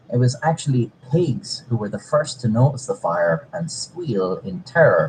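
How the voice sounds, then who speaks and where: A man talks at a fairly slow pace in a medium pitch, his voice swinging very widely up and down. Noticeable background noise sits behind him. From Ireland, outside Dublin. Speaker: comedic history narrator. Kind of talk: scripted narration.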